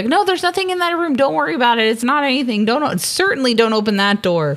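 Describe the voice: A shrill, female-sounding put-on character voice, high in pitch, rattles along at a very fast pace.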